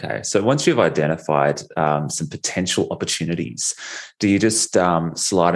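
A man with an Australian accent speaks with a very deep, low pitch. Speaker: podcast host. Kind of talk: podcast interview.

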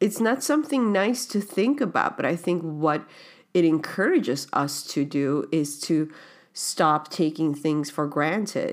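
In a very clean recording with a silent background, a woman with an ordinary speaking voice talks at a fairly slow pace and a fairly low pitch, her loudness very even. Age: 30s. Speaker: spiritual podcast host. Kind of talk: personal reflective monologue.

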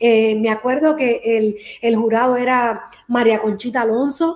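A woman talks at a fairly slow pace in a high voice. Her pitch variation is ordinary. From Cuba, raised in Miami. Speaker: singer. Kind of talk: interview.

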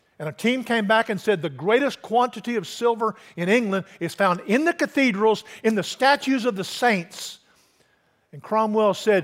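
A man's intonation is lively. He talks with a high pitch. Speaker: pastor. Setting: church. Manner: directive, rallying tone, leading the crowd in a spoken pledge; conversational with frequent uh fillers and repeated words.

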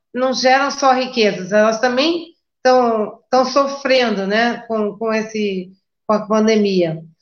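Audible room echo hangs around the voice. The woman talks at a very slow pace. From Brazil, Rio de Janeiro. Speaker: party spokesperson, moderator. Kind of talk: moderating online debate.

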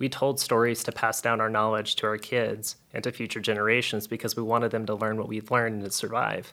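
A very fast pace and bright, sharp tone in a very clean recording with a silent background. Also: man. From South Louisiana. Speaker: storytelling company founder. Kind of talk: interview.

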